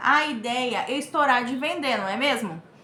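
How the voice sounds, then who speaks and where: A woman projects a raised voice with ordinary pitch variation, audible room echo around her and noticeable background noise. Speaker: crochet teacher / YouTuber. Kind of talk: tutorial. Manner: casual, chatty.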